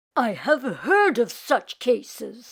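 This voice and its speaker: Growling in a put-on character voice, a woman speaks at a high pitch with very wide swings in pitch. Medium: read story. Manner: calm, wise.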